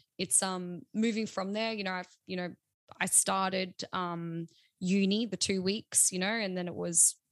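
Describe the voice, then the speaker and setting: A woman with an Australian accent speaks at a medium pitch and fairly slow pace, with fairly even intonation, recorded dry and close with no echo. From South Australia. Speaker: social media manager and newsreader. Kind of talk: casual chat.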